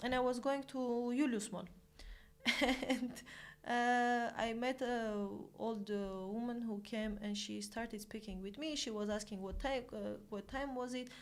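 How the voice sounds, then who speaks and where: A woman with a Romanian accent, fairly high in pitch, fairly even in intonation, at a fairly slow pace. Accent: good Romanian accent, others praise it. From Armenia. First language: Armenian. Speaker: volunteer and colleague. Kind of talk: casual chat.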